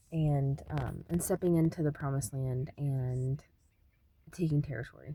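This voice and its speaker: Using a very deep, low pitch, a woman speaks at a moderate pace with a dark, mellow tone and fairly even intonation. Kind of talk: spiritual teaching monologue. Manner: soft-spoken; hesitant, many fillers.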